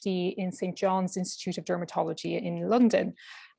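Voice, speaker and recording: The speaker has an Irish accent. The intonation is fairly even. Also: woman. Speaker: clinical research fellow, PhD student. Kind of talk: webinar presentation.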